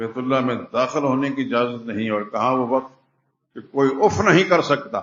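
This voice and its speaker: In an ordinary speaking voice, a man talks with a medium pitch and ordinary pitch variation. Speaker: Islamic scholar, Quran commentator giving a Friday sermon. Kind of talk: Friday sermon (khutbah) delivered in a mosque. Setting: mosque.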